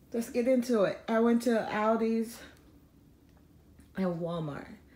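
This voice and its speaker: Fairly high in pitch yet dark and mellow in tone, a woman speaks somewhat breathily with ordinary pitch variation. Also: fairly slow pace. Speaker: family vlogger. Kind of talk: casual chat.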